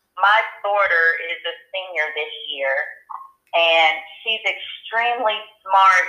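Audible room echo surrounds very slow speech with long, frequent pauses and ordinary pitch variation. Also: woman, medium pitch for a woman. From Atlanta, Georgia, US South. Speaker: state politician. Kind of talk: interview. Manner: frank.

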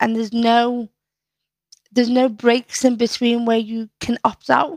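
A woman with a Liverpool accent speaks at a moderate pace and a fairly high pitch. The sound is dry and close, with no echo. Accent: Scouse. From Liverpool, northern England. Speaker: poet and community activist. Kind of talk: casual chat.

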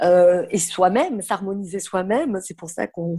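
Her pitch sits in the middle range. The woman's voice varies in pitch in an ordinary way. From southern France. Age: 50s. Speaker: fashion consultant and trade fair founder. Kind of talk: podcast interview.

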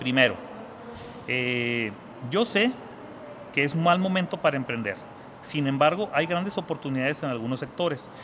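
Pausing long and often, a man with a Mexican accent speaks at a fairly high pitch and a moderate pace. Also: lively intonation. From Mexico, Zacatecas. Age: 30s. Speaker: trader and entrepreneur. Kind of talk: interview.

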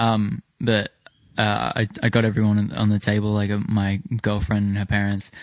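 The speaker, a man with an unremarkable speaking voice, sits fairly low in pitch and talks at a moderate pace with fairly even intonation. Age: young. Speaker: podcast co-host. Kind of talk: casual chat.

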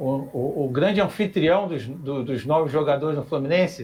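Here a man talks with a fairly high pitch and lively intonation. His pace is moderate, and there is noticeable background noise. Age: 50s. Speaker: architect, club council member. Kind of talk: online debate show.

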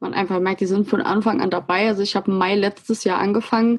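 A woman speaks at a moderate pace with a medium pitch and a flat, monotone delivery. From Saarland, Germany. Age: 20s. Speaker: Instagram blogger on self-love. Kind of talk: casual interview.

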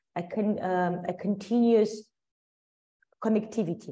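Here a woman speaks at a medium pitch with a dark, mellow tone. Her pace is moderate and her pitch varies in an ordinary way. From Ukraine. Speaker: marketing executive. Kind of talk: interview.

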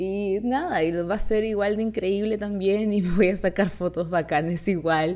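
A woman with a Chilean accent and a dark, mellow tone speaks at a moderate pace, with fairly even intonation and very even loudness. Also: medium pitch for a woman, hardly any pauses. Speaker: content creator. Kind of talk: casual monologue.

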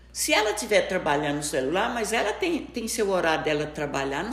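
A woman at a medium pitch, with noticeable background noise. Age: 70s. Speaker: grandmother. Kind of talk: casual chat. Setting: at her home.

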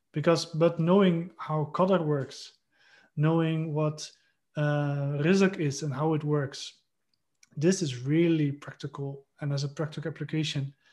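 Somewhat breathy, a man speaks at a fairly high pitch and a fairly slow pace. His intonation is monotone and flat, against a quiet background. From Netherlands. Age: 20s. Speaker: fertility coach. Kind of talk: casual chat.

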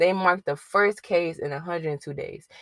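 A woman of medium pitch speaks with ordinary pitch variation in a dry, close sound with no echo, and the recording is very clean with a silent background. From Chicago. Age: 20s. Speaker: podcast host. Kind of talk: casual monologue.

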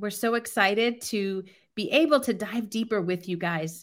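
Recorded very cleanly against a silent background, a woman uses a normal speaking voice at medium pitch, with a moderate pace and ordinary pitch variation. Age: 40s. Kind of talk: casual chat, personal testimony.

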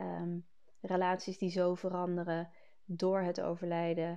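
Dark and mellow in tone, the voice stays monotone with flat intonation. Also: woman. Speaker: grief coach and podcast host. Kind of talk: solo podcast monologue. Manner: halting, many filler sounds; rambling, loses thread at times.

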